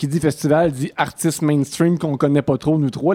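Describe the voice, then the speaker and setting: A man's very fast speech, fairly high in pitch with a dark, mellow tone, in a dry, close sound with no echo. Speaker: talk show host. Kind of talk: comedic talk show banter. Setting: stage without audience.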